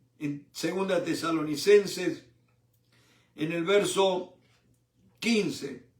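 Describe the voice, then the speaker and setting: Amid audible room echo, a man with a high pitch and ordinary pitch variation talks at a very slow pace. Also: long, frequent pauses. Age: 70s. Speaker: preacher. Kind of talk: sermon. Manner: animated.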